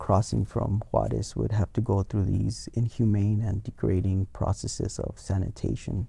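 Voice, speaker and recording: Speaking at a fairly slow pace, a man with an American accent has a fairly low pitch. His voice is somewhat breathy, with a dark, mellow tone. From US-Mexico border, El Paso; US-Mexico border. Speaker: museum education curator; guest. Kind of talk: academic interview. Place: studio. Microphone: lapel.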